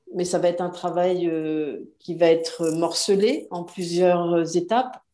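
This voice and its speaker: This woman's voice has a dark, mellow tone at medium pitch, and she talks at a very slow pace. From France. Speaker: self-publishing business owner. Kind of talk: interview.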